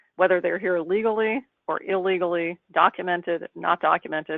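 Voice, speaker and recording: Her pitch sits fairly low. This woman's intonation is fairly even. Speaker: immigration rights presenter. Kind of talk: webinar presentation. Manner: fast; soft-spoken.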